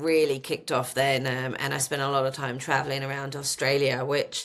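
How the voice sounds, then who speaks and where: In a very clean recording with a silent background, a woman speaks at a moderate pace with a monotone, flat intonation, a bright, sharp tone and a very deep, low pitch. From London, England. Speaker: marketing executive. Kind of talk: podcast interview. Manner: hesitant, many fillers.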